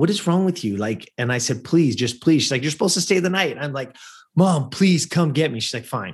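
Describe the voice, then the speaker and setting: Against a quiet background, a man with an American accent speaks at a fairly quick pace and fairly high pitch, his somewhat breathy voice carrying an animated tone and lively intonation. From Southern California (Lancaster). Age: 50s. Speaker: former pro athlete and performance coach. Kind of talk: interview.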